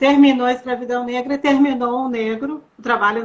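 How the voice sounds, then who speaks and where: A woman's high voice moves at a moderate pace, its pitch varying in an ordinary way. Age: 60s. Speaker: sociologist. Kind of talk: interview.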